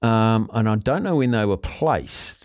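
Over a very clean recording with a silent background, a man talks at a moderate pace and medium pitch in a plain, everyday voice. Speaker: radio host. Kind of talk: radio DJ patter, bantering live on air. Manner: jokey, bantering, cheerful.

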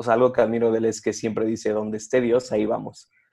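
Monotone, flat intonation runs through the speech. The tone is dark and mellow. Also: man. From Mexico City area. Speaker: pastor's son, church worker, podcast co-host. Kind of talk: casual chat.

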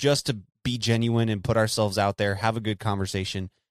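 Here a man talks at a moderate pace and medium pitch. The recording is very clean with a silent background, and the sound is dry and close with no echo. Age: 20s. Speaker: podcast host appearing as guest. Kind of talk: casual chat.

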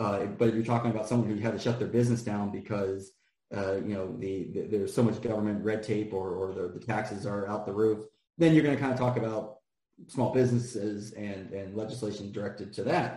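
This man has a dark, mellow tone that is somewhat breathy. He talks with an American accent and fairly even intonation. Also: fairly low pitch for a man. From US, Washington D.C. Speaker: local political candidate. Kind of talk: casual interview.

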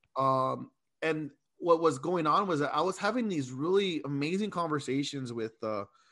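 A fairly high-pitched man with an American accent, fairly slow pace and ordinary pitch variation, over a quiet background. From San Diego, California. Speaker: teacher. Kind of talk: casual interview. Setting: video call.

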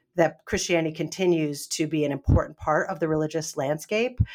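Someone with an American accent talks at a moderate pace in an unremarkable speaking voice, in a very clean recording with a silent background. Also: woman. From US Northeast. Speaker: professor and author. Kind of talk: interview.

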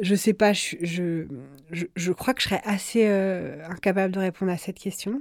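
In a dry, close sound with no echo, a woman speaks at a medium pitch and a fairly slow pace with fairly even intonation. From France, Brittany (Rennes). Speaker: journalist and editor. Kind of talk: interview. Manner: halting.

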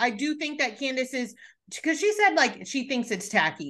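Against a quiet background, a raised, projected voice with a bright, sharp tone, an animated tone and lively intonation moves at a moderate pace. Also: woman. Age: 30s. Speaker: podcast host. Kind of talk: casual chat.

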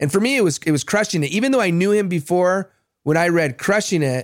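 The recording is very clean, with a silent background. A man speaks in a normal speaking voice with ordinary pitch variation. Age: 40s. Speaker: podcast host. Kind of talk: interview.

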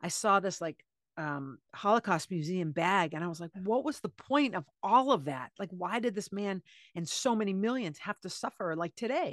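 In a dry, close recording with a quiet background, a woman uses a plain, everyday voice of medium pitch, with lively intonation at a moderate pace. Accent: American. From US Northeast (Cape Cod, Massachusetts). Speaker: author. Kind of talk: interview conversation.

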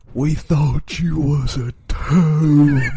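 He puts on a character voice. The man's pitch sits fairly high. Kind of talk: rustic, folksy. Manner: comical, exaggerated.

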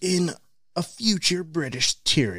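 At a middle pitch and a moderate pace, the speaker performs a put-on character voice. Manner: dramatic, theatrical.

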